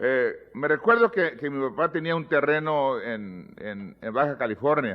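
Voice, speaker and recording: A man's fairly high voice swings very widely in pitch as he talks at a fairly slow pace. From US, Mexican American (pocho). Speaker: pastor. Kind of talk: sermon. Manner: halting, repeats words.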